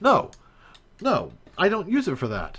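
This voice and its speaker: Speaking slowly-ish with an American accent, a man's voice swings very widely in pitch on a very clean recording with a silent background. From USA. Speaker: live streamer, 3D game modder. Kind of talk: live stream chat. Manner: hesitant, many filler words.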